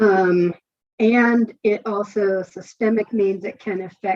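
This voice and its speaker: With an ordinary speaking voice, a woman talks at a medium pitch with fairly even intonation. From Northern California. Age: 60s. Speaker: author. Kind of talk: interview. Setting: podcast.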